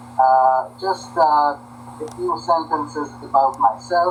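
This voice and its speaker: Very slowly and at a medium pitch, a man speaks over noticeable background noise. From Hungary, then Israel. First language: Hungarian. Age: 70s. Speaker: lecturer. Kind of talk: lecture.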